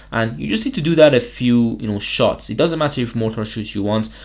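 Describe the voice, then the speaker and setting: A man at medium pitch with lively intonation. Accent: non-native. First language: not English. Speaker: gaming youtuber. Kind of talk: gameplay commentary. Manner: casual.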